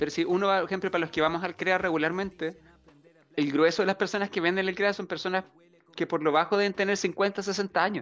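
A man talks at a fairly quick pace with a Chilean accent. His pitch is high and his intonation fairly even. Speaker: podcast co-host. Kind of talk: casual chat. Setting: live stream. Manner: loud.

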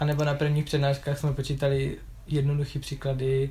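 At a fairly quick pace, a man speaks with a dark, mellow tone, a somewhat breathy quality and a fairly high pitch. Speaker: university student. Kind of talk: casual interview.

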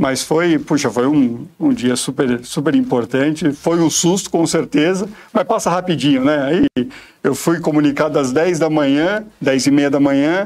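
A man speaks in a plain, everyday voice, fairly high in pitch, with ordinary pitch variation. His pace is fairly slow and his loudness very even. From São Paulo, Brazil. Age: 40s. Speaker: insurance sales executive. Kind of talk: interview. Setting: studio.

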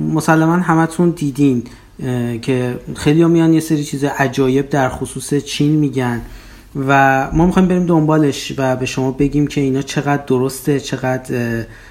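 Moderate-paced speech with fairly even intonation over noticeable background noise. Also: man, fairly high pitch for a man. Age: 30s. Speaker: podcast host, PhD student. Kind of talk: casual podcast intro.

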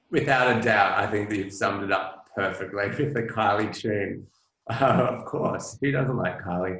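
In an Australian accent, the speaker goes at a moderate pace, with audible room echo. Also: man, fairly low pitch for a man, ordinary pitch variation. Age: 40s. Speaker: publicist and author. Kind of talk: interview conversation.

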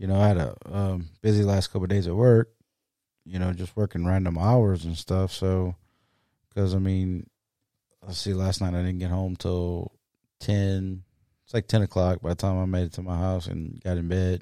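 A man with a very deep, low pitch and a dark, mellow tone speaks in a monotone, flat intonation at a moderate pace with long, frequent pauses, on a very clean recording with a silent background and a dry, close sound with no echo. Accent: South Louisiana. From South Louisiana. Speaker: podcast co-host. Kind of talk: casual chat. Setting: home studio.

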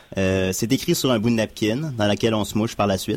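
A man speaks in a plain, everyday voice at medium pitch. His pace is moderate, and his pitch variation is ordinary. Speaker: community radio host. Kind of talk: casual chat. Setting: studio.

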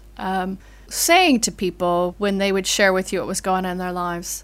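A woman with an American accent talks at a moderate pace in an ordinary speaking voice of medium pitch, on a very clean recording with a silent background. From US. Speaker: vicar. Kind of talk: interview conversation.

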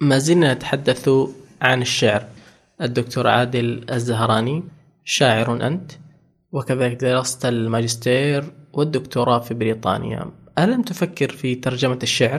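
The man's voice is somewhat breathy. He goes at a fairly slow pace with fairly even intonation. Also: medium pitch for a man. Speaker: podcast host. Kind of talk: interview. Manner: formal.

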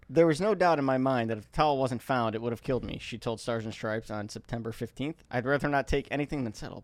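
Talking very fast at a medium pitch with ordinary pitch variation, a man is heard on a very clean recording with a silent background. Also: hardly any pauses.

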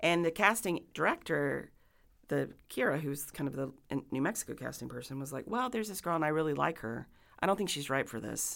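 Very deep, low-voiced woman with an American accent, vocal fry, very wide pitch swings and a fairly quick pace, on a very clean recording with a silent background. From Dallas, Texas. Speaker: actress and theater director. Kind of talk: casual interview. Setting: community center.

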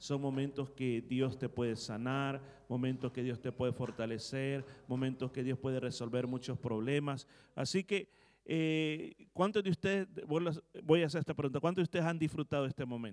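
A man talks in a normal speaking voice at a medium pitch. His pace is moderate, and his pitch varies in an ordinary way. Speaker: pastor. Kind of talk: sermon. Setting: church.

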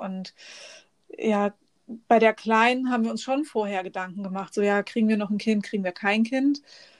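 On a very clean recording with a silent background, a woman in a plain, everyday voice speaks at a moderate pace and fairly high pitch, with ordinary pitch variation. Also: dry, close sound with no echo. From northern Germany, near Bremen. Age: 40s. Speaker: podcast guest with an eye disease. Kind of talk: casual interview.

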